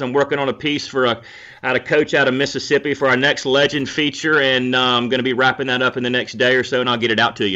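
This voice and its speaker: Bright and sharp in tone, a man with a Southern US accent talks very fast. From North Carolina, Charlotte. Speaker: sports journalist. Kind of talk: casual interview.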